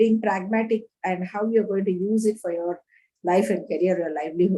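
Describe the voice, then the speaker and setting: A woman's somewhat breathy voice, dark and mellow in tone, moves at a moderate pace. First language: not Kannada; another Indian language. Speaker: panel guest on language policy. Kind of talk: online panel discussion. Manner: halting, many repeated words and fillers.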